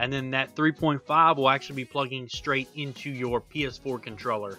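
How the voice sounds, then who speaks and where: With music in the background, a man at medium pitch speaks at a fairly quick pace with fairly even intonation. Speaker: gaming streamer. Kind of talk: tech tutorial voice-over. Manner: monotone at times.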